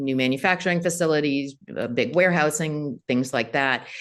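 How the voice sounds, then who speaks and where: With an American accent, a woman's voice sits very deep and low. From United States. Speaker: venture capital investor. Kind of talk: interview.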